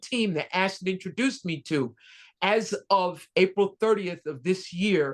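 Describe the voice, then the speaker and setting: A woman with an American accent and a plain, everyday voice, fairly low in pitch with ordinary pitch variation, at a moderate pace against a quiet background. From New York. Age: 60s. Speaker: Navy veteran and VA engineering supervisor. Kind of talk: testimony. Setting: video call.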